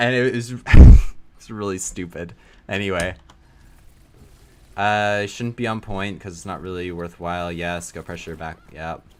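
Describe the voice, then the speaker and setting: A man with a very deep, low pitch speaks at a moderate pace with ordinary pitch variation and long, frequent pauses, against noticeable background noise. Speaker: streamer reviewing game footage. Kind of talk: casual live stream commentary. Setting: live stream. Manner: casual, filler-heavy.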